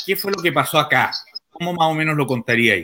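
A man's fairly high, bright and sharp voice with a Chilean accent. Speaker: journalist and interview host. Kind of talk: interview. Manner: hesitant.

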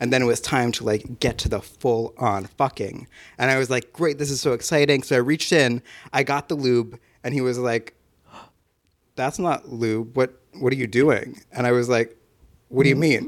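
With an American accent and a plain, everyday voice, a man speaks at a medium pitch and moderate pace with fairly even intonation, in a very clean recording with a silent background. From New Jersey and Pennsylvania. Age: 20s. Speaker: photographer and podcast editor. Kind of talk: casual chat.

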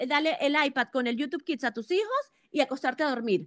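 With a Latin American accent, a woman talks at a moderate pace with lively intonation in a dry, close sound with no echo. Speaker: media entrepreneur. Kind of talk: casual chat. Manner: halting with repetitions.

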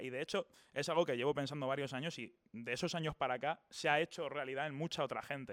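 Pitched fairly high, this man talks very fast with hardly any pauses. The sound is dry and close with no echo. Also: very clean recording, silent background. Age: 20s. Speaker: YouTuber. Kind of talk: casual interview.

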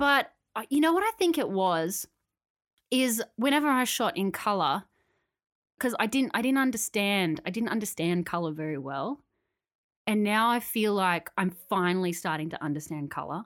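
A woman with an Australian accent speaks at medium pitch with very wide pitch swings, on a very clean recording with a silent background. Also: moderate pace. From Australia, Canberra. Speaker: podcast co-host, photographer. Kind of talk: casual chat.

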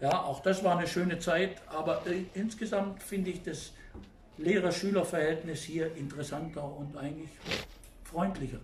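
Moderate-paced speech with fairly even intonation and long, frequent pauses, amid audible room echo and noticeable background noise. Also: man, high pitch for a man. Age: 70s. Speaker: German teacher. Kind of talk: interview.

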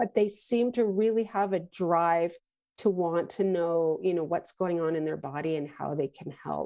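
Against a quiet background, a woman with an unremarkable speaking voice talks at a moderate pace in a fairly low pitch with ordinary pitch variation. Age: 50s. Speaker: holistic nutritional consultant. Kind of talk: casual interview.

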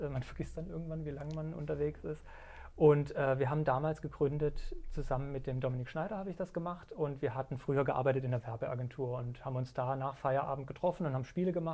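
A man's somewhat breathy, dark, mellow voice, fairly high in pitch, with ordinary pitch variation at a very fast pace. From Germany. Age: 40s. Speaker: indie game developer. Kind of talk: casual chat. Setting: studio.

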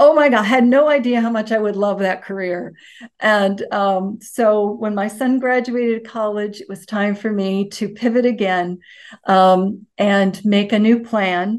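In an unremarkable speaking voice, a woman with a fairly high pitch speaks at a fairly slow pace with fairly even intonation over a quiet background. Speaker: university alum, former teacher and pageant winner. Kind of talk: interview.

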